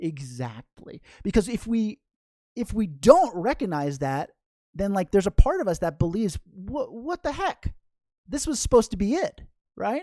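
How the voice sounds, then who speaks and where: A woman speaks at a moderate pace and a medium pitch, her voice swinging very widely in pitch. Her tone is dark and mellow with vocal fry, in a dry, close sound with no echo. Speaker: meditation teacher. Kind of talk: live online class. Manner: halting with repetitions.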